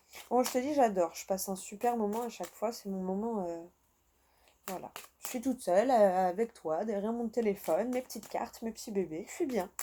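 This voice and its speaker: A woman with a fairly high voice and a dark, mellow tone speaks at a fairly quick pace, with ordinary pitch variation and big swings in loudness. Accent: southern French. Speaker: tarot card reader. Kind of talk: tarot reading. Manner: casual, chatty.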